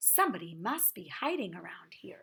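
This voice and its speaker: A woman puts on a character voice, pitched fairly high and swinging very widely up and down. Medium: read story.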